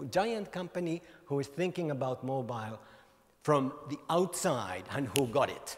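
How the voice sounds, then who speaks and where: A man with a Finnish accent talks with lively intonation against a quiet background. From Finland. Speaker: mobile industry author and speaker. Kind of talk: conference keynote talk. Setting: stage with audience. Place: hall. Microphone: handheld.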